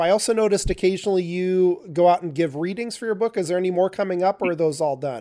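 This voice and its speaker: Speaking very fast, a man with an American accent uses a high pitch and ordinary pitch variation. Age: 40s. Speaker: podcast host. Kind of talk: interview. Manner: hesitant, many fillers.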